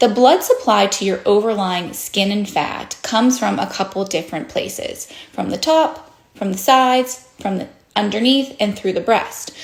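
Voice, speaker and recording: With lively intonation, a woman speaks at medium pitch and a moderate pace amid noticeable background noise. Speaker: plastic surgeon. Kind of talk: educational explainer.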